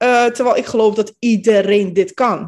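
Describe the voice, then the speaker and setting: The pitch here is fairly high. It is a woman who speaks. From Netherlands, Capelle aan de IJssel (from Bosnia at 10). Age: 30s. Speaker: manifestation coach. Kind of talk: interview.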